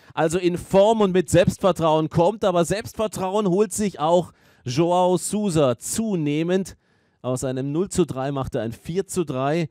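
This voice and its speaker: At a very slow pace, a man with a high pitch and a dark, mellow tone speaks with ordinary pitch variation. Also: very clean recording, silent background. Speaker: tennis commentator. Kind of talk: live sports commentary on a tennis match. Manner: fluent, engaged, analytical play-by-play.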